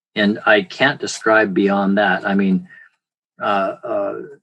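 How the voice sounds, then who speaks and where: A man talks fairly slowly in a fairly low voice. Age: 60s. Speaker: physician, dermatologist. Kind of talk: testimonial interview. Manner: halting, many fillers.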